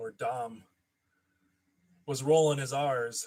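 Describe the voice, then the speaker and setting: Somewhat breathy and medium-pitched, a man speaks with an American accent and very wide pitch swings. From Minnesota. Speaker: toy collector YouTuber. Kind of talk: live stream chat. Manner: casual, rambling.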